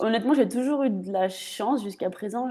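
A woman with a dark, mellow tone talks at a fairly quick pace against a quiet background. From Paris region, France; France. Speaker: footballer; guest. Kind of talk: live stream interview. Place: home room. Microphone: video call.

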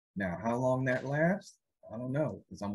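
A man speaks at a fairly quick pace, somewhat breathy. His pitch varies in an ordinary way. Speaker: podcast host. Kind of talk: casual podcast chat. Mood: amused, relaxed.

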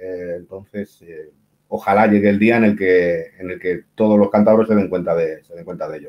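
A man's fairly low voice at a moderate pace, flat and monotone. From Cantabria, Spain (Santander); Cantabria, Spain. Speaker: writer, columnist. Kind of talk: casual interview. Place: home room. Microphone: video call.

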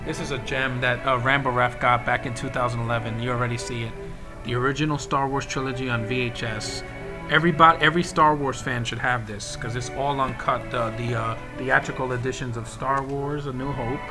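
A man delivers his words fairly fast, with music clearly audible behind him. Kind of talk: casual vlog chat. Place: home room. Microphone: webcam.

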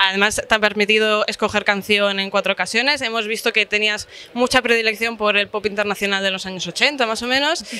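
With a bright, sharp tone and fairly high pitch, a woman talks at a fairly quick pace with hardly any pauses and fairly even intonation, in a dry sound with no echo. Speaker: magazine reporter. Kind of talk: interview questions. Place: cafe.

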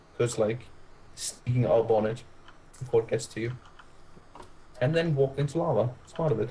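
Noticeable background noise sits behind a man talking at a fairly quick pace with long, frequent pauses. His voice is medium in pitch with ordinary pitch variation. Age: young. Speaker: gamer. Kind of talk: casual chat.

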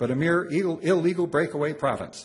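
At a very fast pace, a man talks. His pitch is high. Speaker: law professor. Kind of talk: lecture. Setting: stage with audience. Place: hall.

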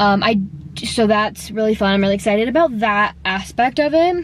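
Recorded dry with no echo over light background noise, a woman talks at a fairly quick pace. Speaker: vlogger. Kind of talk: casual vlog chat. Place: car. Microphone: phone near.

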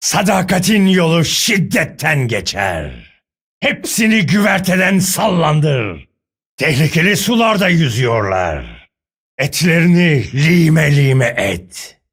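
A man in a put-on character voice sounds raspy, fairly high-pitched and very slow. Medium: dub. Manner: menacing, gruff.

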